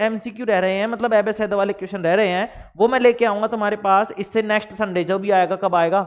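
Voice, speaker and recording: A man's high-pitched voice at a moderate pace. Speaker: online science teacher. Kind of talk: lecture. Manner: animated.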